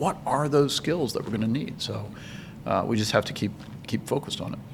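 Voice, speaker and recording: A man with a medium-pitched voice and lively intonation speaks at a fairly quick pace over noticeable background noise. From rural US. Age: 60s. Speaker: manufacturing association executive. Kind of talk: casual chat. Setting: conference recording.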